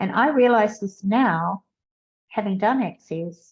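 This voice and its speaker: A somewhat breathy woman's voice. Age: 70s. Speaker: podcaster. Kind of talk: personal podcast talk.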